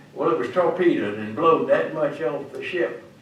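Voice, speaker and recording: A man talks with a fairly high pitch. Noticeable background noise and audible room echo are present. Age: 90s. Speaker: WWII Navy veteran. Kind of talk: talk to schoolchildren. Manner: halting.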